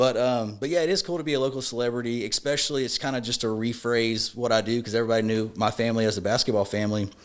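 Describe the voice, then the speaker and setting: With a Louisiana accent, a man talks at a very fast pace, his medium pitch varying in an ordinary way. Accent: Louisiana Southern US. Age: 30s. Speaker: personal injury lawyer. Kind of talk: podcast interview.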